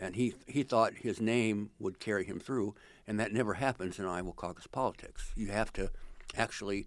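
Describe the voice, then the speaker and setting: A man with an American accent uses an ordinary speaking voice. His pitch is fairly low and his pace is moderate. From central Illinois. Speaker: retired political reporter. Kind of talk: interview.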